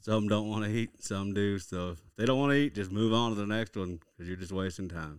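A man with an Oklahoma accent speaks at a fairly low pitch with ordinary pitch variation. He leaves hardly any pauses. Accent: Oklahoma Southern drawl. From Oklahoma (Lawton, southwest). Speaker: fishing guide. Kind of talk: casual interview.

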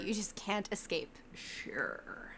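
A woman talks at a fairly slow pace, and the recording is very clean with a silent background. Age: 20s. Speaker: podcast co-host. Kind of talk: casual chat.

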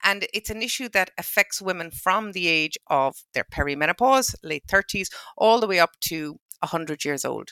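In a dry, close sound with no echo, a woman speaks at medium pitch and moderate pace with a bright, sharp tone. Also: lively intonation, very clean recording, silent background. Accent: western Irish. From Ireland, County Mayo. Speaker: pharmacist. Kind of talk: casual chat.

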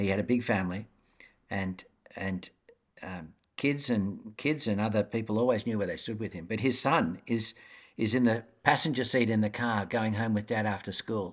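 A man with an Australian accent at a moderate pace. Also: fairly low pitch for a man, ordinary pitch variation, very clean recording, silent background. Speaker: educator and author. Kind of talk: interview.

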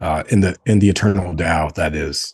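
Fairly even intonation marks this man's fairly low voice, a plain, everyday voice. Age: 40s. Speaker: co-founder of a men's brotherhood organization. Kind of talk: casual interview conversation.

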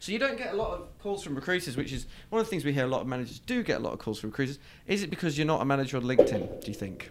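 Someone with a British accent talks at a very fast pace, the pitch swinging very widely. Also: man, fairly high pitch for a man. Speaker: podcast host, recruiter. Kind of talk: casual interview.

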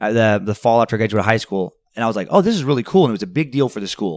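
With an American accent, a man talks at a very fast pace on a very clean recording with a silent background and a dry, close sound with no echo. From Idaho, US. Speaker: comedian and podcaster. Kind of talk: casual chat. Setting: hotel.

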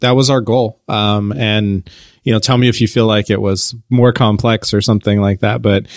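Fairly low-pitched man with an American accent, moderate pace and fairly even intonation, an ordinary speaking voice, in a very clean recording with a silent background and a dry, close sound with no echo. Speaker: platform company representative.

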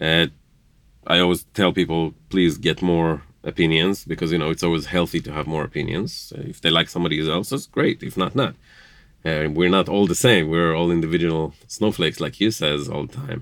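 A man with a very deep, low pitch, a fairly quick pace and ordinary pitch variation. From Israel, Jerusalem. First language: Hebrew. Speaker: interviewee, spouse of host. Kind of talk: casual interview. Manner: hesitant, with filler words.

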